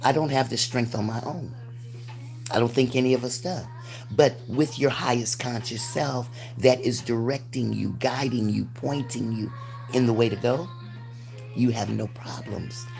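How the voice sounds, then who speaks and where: Music in the background behind a woman's very deep, low voice, flat monotone intonation, moderate pace and long, frequent pauses. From United States. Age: 60s. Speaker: spiritual livestreamer. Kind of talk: livestream monologue. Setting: livestream.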